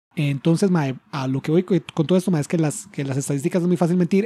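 With a Costa Rican accent and a dark, mellow tone, a man speaks in a high pitch at a fairly quick pace, his pitch varying in an ordinary way, on a very clean, dry and close recording with a silent background and no echo. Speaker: podcast host. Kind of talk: casual chat. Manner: halting.

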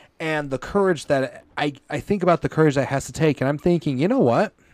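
In a very clean recording with a silent background, a man with an American accent uses an unremarkable speaking voice, talking at a fairly quick pace with lively intonation. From US, Colorado and Indiana. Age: 30s. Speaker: podcast host, former Pentecostal church member. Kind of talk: testimony interview. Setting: live stream.

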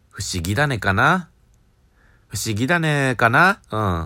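A man speaks with lively intonation in a bright, sharp tone on a very clean recording with a silent background. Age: 20s. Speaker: podcast beginner. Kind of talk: casual monologue. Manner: halting.

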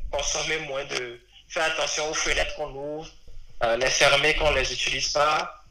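Over noticeable background noise and audible room echo, a man talks at a moderate pace in a flat, monotone delivery. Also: fairly high pitch for a man. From Benin. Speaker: data engineer. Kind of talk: interview. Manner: hesitant, many fillers.

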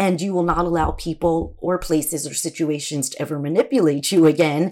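Fairly low in pitch, a woman speaks on a very clean recording with a silent background. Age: 50s. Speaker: podcast host. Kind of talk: casual monologue. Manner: animated.

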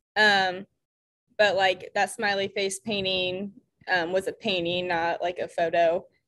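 Speaking at a fairly slow pace, a woman with a Midwestern American accent has a medium-pitched voice, a bright, sharp tone and flat, monotone intonation. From Indiana, US Midwest. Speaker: ceramicist. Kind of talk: casual interview chat. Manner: casual, filler-heavy.

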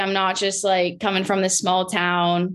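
At a moderate pace, a woman with a Canadian accent talks in a normal speaking voice at a medium pitch, over a quiet background. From southwestern Ontario, Canada. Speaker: former hockey player. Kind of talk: casual interview.

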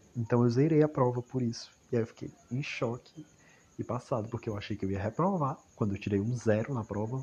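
A man talks at a fairly quick pace in a medium pitch. His voice is somewhat breathy, with ordinary pitch variation. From Ceará, Brazil. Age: 20s. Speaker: university student. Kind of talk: personal audio diary monologue. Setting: at home in a hammock at night.

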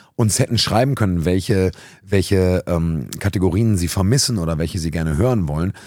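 Very deep, low-pitched man's voice, dark and mellow in tone, with ordinary pitch variation and a moderate pace. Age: 30s. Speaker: youth worker and podcast host. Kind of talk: casual chat. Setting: youth centre, seated on sofas with mobile recorder.

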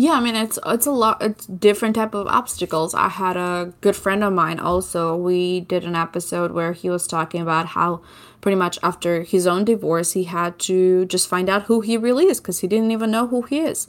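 A woman with an Albanian accent speaks at a moderate pace and medium pitch, with ordinary pitch variation, hardly any pauses, and a very clean recording over a silent background. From southern Albania. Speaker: podcaster. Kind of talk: interview.

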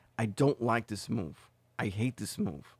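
In a very clean recording with a silent background and a dry, close sound with no echo, a man talks with ordinary pitch variation. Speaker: sports podcast host. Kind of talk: solo sports commentary podcast. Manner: fast.

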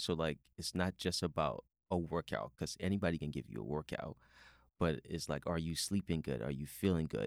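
The voice has vocal fry and an American accent, recorded with a dry, close sound and no echo. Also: man, very deep, low pitch for a man, ordinary pitch variation, moderate pace. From outside the US. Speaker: podcast host, fitness trainer. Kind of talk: casual interview. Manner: animated.

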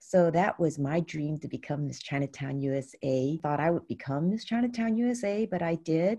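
A woman's very deep, low voice with lively intonation and a San Francisco accent. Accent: American, San Francisco. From US West Coast, San Francisco. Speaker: pageant founder. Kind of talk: interview.

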